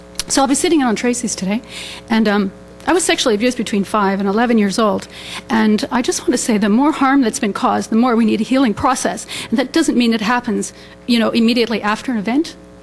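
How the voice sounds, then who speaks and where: Through noticeable background noise, a woman speaks very fast in a shaky, fairly high voice with ordinary pitch variation. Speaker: restorative justice practitioner. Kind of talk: forum Q&A comment. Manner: shaky voice.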